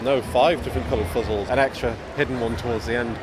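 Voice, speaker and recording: Noticeable background noise fills the clip. Through it, a man talks at a medium pitch. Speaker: game developer. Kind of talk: interview answer.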